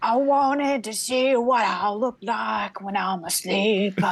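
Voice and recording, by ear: Someone does a squeaky put-on character voice at a fairly slow pace. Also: female-sounding voice, fairly high pitch for a woman.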